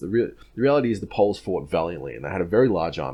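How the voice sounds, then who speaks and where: A man with an Australian accent speaks with lively intonation and vocal fry, on a very clean recording with a silent background. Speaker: history content creator. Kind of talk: casual Q&A monologue. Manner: casual, many filler words.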